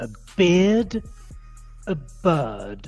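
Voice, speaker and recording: Music plays behind a woman as she talks. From London, England. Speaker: English pronunciation teacher. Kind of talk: pronunciation drill. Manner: clear, deliberate.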